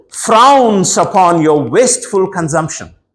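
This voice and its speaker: A man with a high voice speaks at a very slow pace, his pitch swinging very widely. The room echo is audible. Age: 60s. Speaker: preacher. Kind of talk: sermon. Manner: animated.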